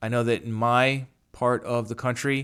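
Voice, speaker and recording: A man talks in a New York accent. His intonation is monotone and flat. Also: very clean recording, silent background. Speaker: podcast host. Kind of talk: podcast monologue. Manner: halting.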